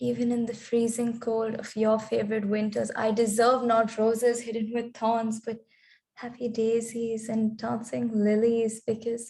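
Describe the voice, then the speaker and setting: A dark, mellow tone carries a somewhat breathy voice. The intonation is flat and monotone, and the pace is fairly slow. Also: woman, fairly high pitch for a woman. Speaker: spoken word poet. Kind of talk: spoken word poetry performance.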